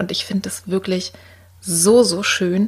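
Her intonation monotone and flat, a woman at medium pitch talks at a very slow pace. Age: 60s. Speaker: art therapist and podcast host. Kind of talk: solo podcast talk.

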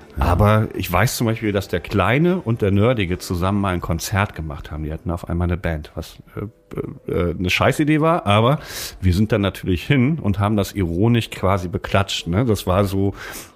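A man with a normal speaking voice talks at a fairly quick pace, his fairly low pitch rising and falling in a lively way. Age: 40s. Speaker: podcast co-host, author. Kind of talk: casual chat.

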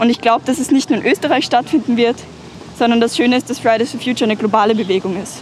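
Someone talks at a very fast pace with ordinary pitch variation over noticeable background noise. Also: woman, fairly high pitch for a woman. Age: young. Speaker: climate activist. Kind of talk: interview. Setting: outdoors.

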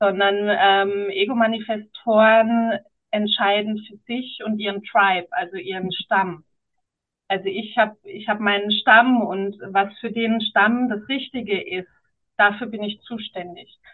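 At a very slow pace, a woman talks with a fairly high pitch and fairly even intonation. Her loudness swings widely. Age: 40s. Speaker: founder and podcast guest. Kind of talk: casual interview chat.

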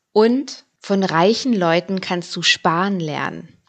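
A woman talks at a fairly slow pace with ordinary pitch variation. Hers is an unremarkable speaking voice, medium in pitch. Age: 30s. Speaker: personal finance podcaster. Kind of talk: podcast monologue.

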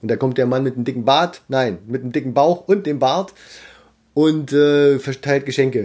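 A man with an unremarkable speaking voice talks at a moderate pace, his pitch fairly high and his pitch variation ordinary. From Harz region, Germany. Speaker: ventriloquist, musician and social worker. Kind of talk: casual interview chat.

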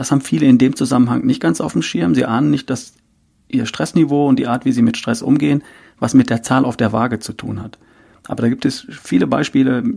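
There is vocal fry in this man's dark, mellow voice as he talks fairly quickly with ordinary pitch variation. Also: medium pitch for a man. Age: 50s. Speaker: health coach and podcaster. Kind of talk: interview.

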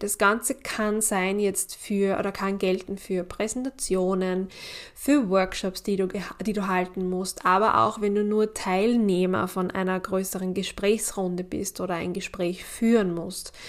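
Her voice is an ordinary speaking voice, medium in pitch, as this woman talks at a fairly slow pace. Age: 30s. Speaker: cycle coach and podcast host. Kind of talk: solo podcast monologue.

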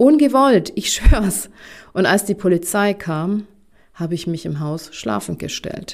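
Very slow speech with lively intonation in a Bavarian accent. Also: woman, medium pitch for a woman. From Bavaria, Germany. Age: 40s. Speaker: career coach. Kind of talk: podcast monologue. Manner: enthusiastic.

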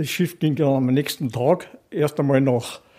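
With a strong Bavarian accent, a man speaks in a dark, mellow tone. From Bavaria, Rottach (Upper Bavaria). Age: 80s. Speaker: retired mountaineer, expedition veteran. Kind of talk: storytelling interview.

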